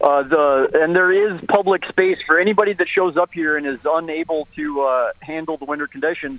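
A man talks at a fairly quick pace with ordinary pitch variation and hardly any pauses. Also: fairly high pitch for a man. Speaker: activist. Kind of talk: casual chat. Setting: phone call. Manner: animated.

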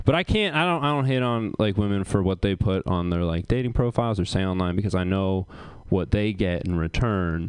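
A man with an American accent and a normal speaking voice, fairly low in pitch with ordinary variation, talking at a fairly quick pace against a quiet background. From US Northeast, rural Maine. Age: 20s. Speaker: comedian. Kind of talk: stand-up. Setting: stage with audience.

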